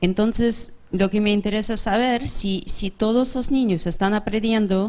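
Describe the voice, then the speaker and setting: Speaking at a fairly slow pace, a woman with an English accent keeps a medium pitch and ordinary pitch variation. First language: English (speaking Spanish). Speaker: audience member asking a question. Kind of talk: audience question. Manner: halting, self-correcting.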